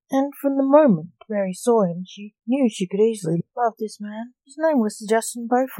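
A quiet background sits behind a natural reading voice.

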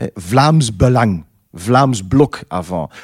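Speaking in a Dutch accent at a very slow pace, a man uses a medium pitch with very wide pitch swings, the sound dry and close with no echo. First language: Dutch (speaking French). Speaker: film director. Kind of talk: interview.

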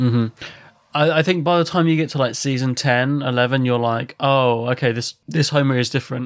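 A normal speaking voice, a man at a medium pitch and a fairly quick pace. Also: fairly even intonation. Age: 30s. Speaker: podcast co-host. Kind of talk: casual chat.

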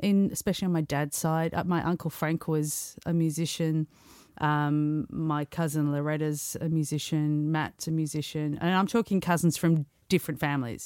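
In an Australian accent, a woman with a very deep, low pitch talks at a moderate pace with fairly even intonation on a very clean recording with a silent background. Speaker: comedian and singer-songwriter. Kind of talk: casual interview.

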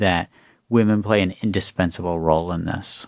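The recording is very clean with a silent background. A man with an unremarkable speaking voice talks at a moderate pace with ordinary pitch variation. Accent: American. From US, West Virginia. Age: 40s. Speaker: author and former government official. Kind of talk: interview conversation.

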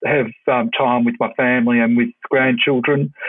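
This man has an Australian accent and a medium pitch. He talks at a moderate pace with ordinary pitch variation. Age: 60s. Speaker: retired police officer. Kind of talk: interview. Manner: halting.

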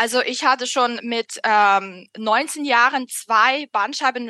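Recorded dry and close with no echo against a quiet background, a woman with a Russian accent speaks at a high pitch with a bright, sharp tone and fairly even intonation. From Russia, Moscow. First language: Russian (speaking German). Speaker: author. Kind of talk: interview. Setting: video call. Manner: halting, many fillers.

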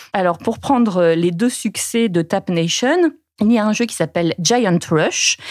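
A plain, everyday voice at a fairly slow pace. Its pitch varies in an ordinary way. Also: woman, medium pitch for a woman. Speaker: journalist. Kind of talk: interview.

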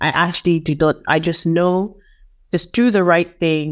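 A woman talks at a moderate pace with fairly even intonation. The recording is very clean, with a silent background. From Nigeria. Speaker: sustainability professional. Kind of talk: interview.

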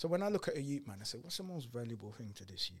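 Speaking at a very fast pace, a man sounds somewhat breathy, his intonation lively. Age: 40s. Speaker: entrepreneur and speaker. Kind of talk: podcast interview.

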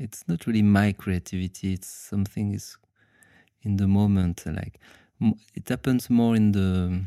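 A man with a French accent speaks in a dark, mellow tone on a very clean recording with a silent background. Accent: French, noticeable. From France. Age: 30s. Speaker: dancer and aikido teacher. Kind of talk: casual interview. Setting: late-night recording after workshop. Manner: halting.

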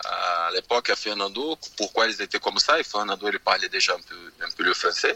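Over noticeable background noise, a man with a Portuguese accent speaks in a dry, close sound with no echo. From Brazil. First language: Portuguese (speaking French). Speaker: former footballer. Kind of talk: radio interview. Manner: halting, frequent 'tu vois'.

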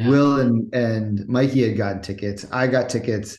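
A man speaks at a moderate pace in an ordinary speaking voice, his medium pitch rising and falling with ordinary variation. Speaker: podcast co-host. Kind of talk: casual chat.

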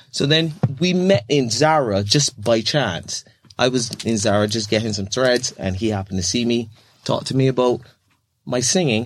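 A man's medium-pitched voice with a Barbadian accent, lively intonation and a moderate pace. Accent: Barbadian (Bajan) English. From Barbados. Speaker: podcast guest sharing life story. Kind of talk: interview conversation.

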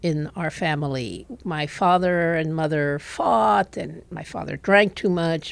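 A woman with a Spanish accent speaks at a fairly slow pace in a fairly low voice. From Puerto Rico. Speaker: former intelligence officer. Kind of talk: interview.

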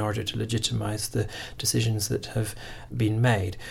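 A man speaks fairly quickly at a medium pitch, sounding somewhat breathy. His intonation stays fairly even. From Scotland. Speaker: constitutional researcher. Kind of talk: panel discussion.

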